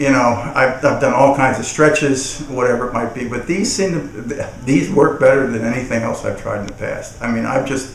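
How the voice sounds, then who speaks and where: A man talks at a fairly quick pace with hardly any pauses. Noticeable background noise runs behind him. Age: 60s. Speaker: testimonial customer. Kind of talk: testimony. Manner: halting, many repetitions and fillers.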